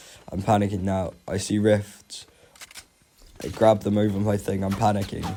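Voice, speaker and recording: A man speaks at a moderate pace. His voice is fairly low in pitch. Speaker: gamer. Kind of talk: gameplay voiceover commentary.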